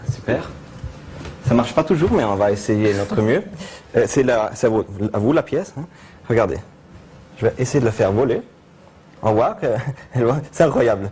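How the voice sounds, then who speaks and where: At a moderate pace, a man of medium pitch speaks with lively intonation and long, frequent pauses. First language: Italian (speaking French). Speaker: mentalist. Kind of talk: TV interview with live demonstration. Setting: TV studio. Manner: hesitant, many fillers.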